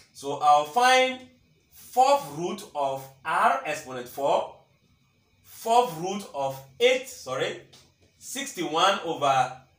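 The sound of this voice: A man talks slowly with long, frequent pauses and big pitch swings at a fairly high pitch. His tone is fairly bright, and there is audible room echo.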